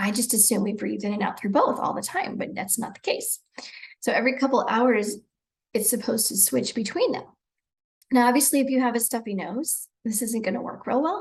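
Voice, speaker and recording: Fairly quick and fairly high-pitched, a woman talks with ordinary pitch variation. She has an ordinary speaking voice. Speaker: breathwork and self-care guide. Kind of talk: guided breathwork instruction. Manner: calm, relaxed.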